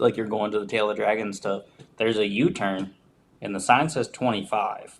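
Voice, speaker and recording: This man has a slight Southern US accent. His fairly low voice keeps fairly even intonation. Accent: slight Southern twang. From West Virginia. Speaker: motorcycle rider. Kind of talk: casual chat.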